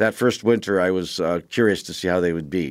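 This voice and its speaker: A man with an American accent at a fairly quick pace, with ordinary pitch variation, in a very clean recording with a silent background. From Wisconsin. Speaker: cattle farmer. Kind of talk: radio interview. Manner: halting, many fillers and restarts.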